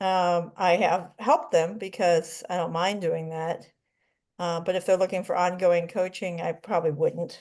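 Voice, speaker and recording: Talking at a moderate pace, a woman with a fairly low pitch uses an unremarkable speaking voice. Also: quiet background. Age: 60s. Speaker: life coach in a coaching class. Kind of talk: casual group class discussion.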